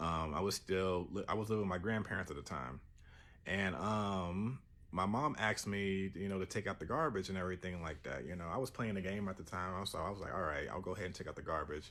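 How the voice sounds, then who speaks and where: A man's very deep, low voice rushes at a very fast pace with ordinary pitch variation. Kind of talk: casual first-person story telling. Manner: hesitant, stuttering, many fillers.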